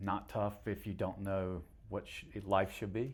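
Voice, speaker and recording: A man with an American accent, with audible room echo around his voice. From North Carolina (Cary/Raleigh area), partly rural Georgia. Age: 70s. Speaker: mayor. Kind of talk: interview. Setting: in-person at town hall.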